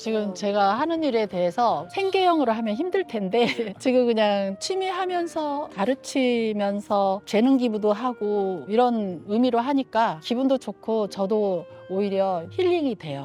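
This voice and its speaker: Over noticeable background noise, a woman talks at a fairly slow pace and fairly high pitch, with very wide pitch swings and hardly any pauses. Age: 60s. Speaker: senior model instructor. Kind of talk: street interview answer. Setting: outdoors.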